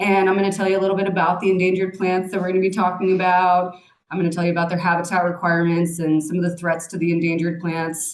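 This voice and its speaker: A woman at a very fast pace, flat and monotone, with audible room echo. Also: medium pitch for a woman. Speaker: plant nursery manager. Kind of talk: lecture. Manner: loud.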